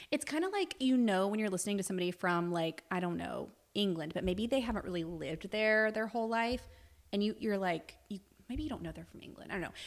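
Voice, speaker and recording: A woman's medium-pitched voice with a slight Southern US accent, lively intonation and a very fast pace. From US South, Alabama; Navy family, moved around. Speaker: podcast co-host. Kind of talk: casual chat.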